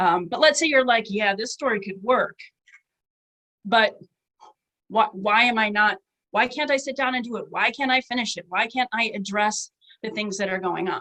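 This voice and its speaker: A woman talks in a bright, sharp tone at a fairly high pitch with ordinary pitch variation. She leaves long, frequent pauses. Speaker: author giving writing workshop. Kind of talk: online workshop talk. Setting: webinar. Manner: fast; casual, filler-heavy.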